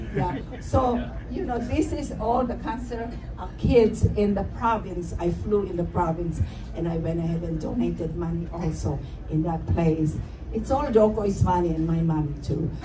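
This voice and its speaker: Audible room echo and noticeable background noise are both present. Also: woman, moderate pace. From Philippines. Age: 70s. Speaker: radio host. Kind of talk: gala speech with slides.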